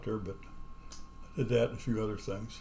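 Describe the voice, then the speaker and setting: The speaker is a man with a somewhat breathy voice. His intonation is flat and monotone. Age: 80s+. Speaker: retired programmer teaching assembly. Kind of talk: tutorial. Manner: casual, halting with fillers.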